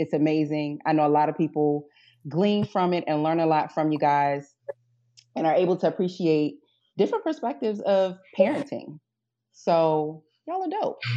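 With a Baltimore accent and a dark, mellow tone, the speaker moves at a moderate pace with ordinary pitch variation and long, frequent pauses over a quiet background. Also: woman, very deep, low pitch for a woman. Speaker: guest podcast host.

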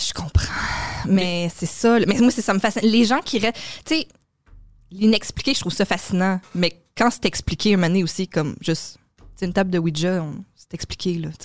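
Speaking at a moderate pace with long, frequent pauses, a woman uses a medium pitch and ordinary pitch variation. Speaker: comedy booking agency coordinator and podcast co-host. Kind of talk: casual chat.

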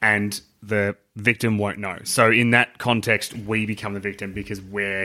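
A fairly low-pitched man with an Australian accent, bright, sharp and animated in tone, in a very clean recording with a silent background. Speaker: podcast co-host. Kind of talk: casual banter. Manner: joking, animated.

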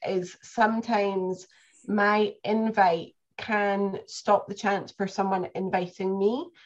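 A woman with a Scottish accent talks at a very slow pace, her medium pitch held to fairly even intonation.

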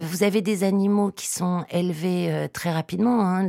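A woman with an unremarkable speaking voice talks at a fairly slow pace and a fairly low pitch. The sound is dry and close with no echo, on a very clean recording with a silent background. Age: 40s. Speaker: agronomist and author. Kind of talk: interview. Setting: studio.

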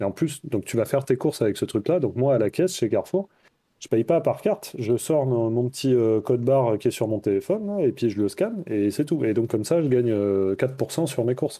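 Talking at a fairly quick pace, a man with a medium pitch and a dark, mellow tone uses lively intonation. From France, Toulouse. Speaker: money-saving blogger. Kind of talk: casual interview.

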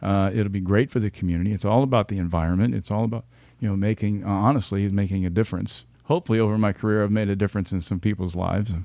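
Over a quiet background, the speaker rushes along at a very fast pace with hardly any pauses, in a dark, mellow tone with fairly even intonation. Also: man, fairly low pitch for a man. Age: 50s. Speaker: retired fire captain turned leadership consultant. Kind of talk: interview.

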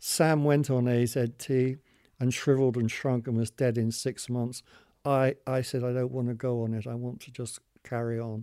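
A man with a British accent and a monotone, flat delivery. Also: medium pitch for a man, moderate pace. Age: 70s. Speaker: long-term HIV survivor. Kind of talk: testimony.

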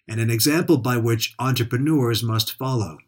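In a very clean recording with a silent background, a man with a normal speaking voice talks at a fairly quick pace with ordinary pitch variation. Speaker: podcast host. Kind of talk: scripted narration. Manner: formal.

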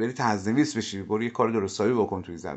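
The pace is very fast. It belongs to a man. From Iran, Mashhad. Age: 40s. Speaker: humor researcher and satirist. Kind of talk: casual interview chat.

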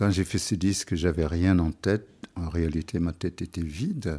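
A man with a Senegalese accent, very deep and low in pitch, with a dark, mellow tone and fairly even intonation, at a very slow pace on a very clean recording with a silent background. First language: Wolof (speaking French). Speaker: musician. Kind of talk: interview.

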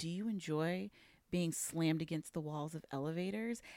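Growling in a put-on character voice, the speaker uses a menacing tone at a middle pitch and a moderate pace. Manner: predatory, menacing.

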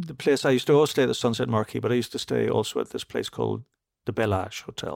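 Talking at a very fast pace, a man with a Northern Irish accent and a medium pitch comes through in a dry, close sound with no echo. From Northern Ireland, Belfast. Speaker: classical concert pianist and podcast co-host. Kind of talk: casual chat.

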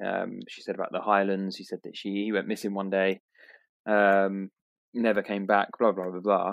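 Fairly low-pitched man with a British accent, moderate pace, monotone, flat intonation, big swings in loudness. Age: 30s. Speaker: podcast co-host. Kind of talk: casual chat.

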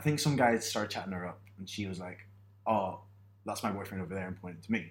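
This voice has ordinary pitch variation. It speaks with a British accent. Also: man. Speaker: podcast co-host. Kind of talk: casual chat. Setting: in person, sharing one microphone.

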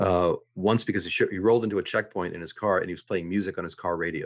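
A man at a very deep, low pitch, monotone and flat, at a very fast pace. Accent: American. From Boston, Massachusetts. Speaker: navy veteran and lawyer. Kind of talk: interview.

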